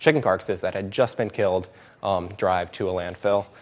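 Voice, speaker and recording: A man speaks with a very deep, low pitch at a fairly quick pace. The recording is very clean, with a silent background. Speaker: animal sanctuary staff presenter. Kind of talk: presentation. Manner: fast; hesitant, many fillers.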